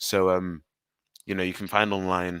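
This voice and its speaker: A man with a London accent, very deep and low in pitch, bright and sharp in tone, at a fairly quick pace, in a dry, close sound with no echo and a very clean recording with a silent background. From England, London. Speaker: student union officer. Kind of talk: live Q&A answer.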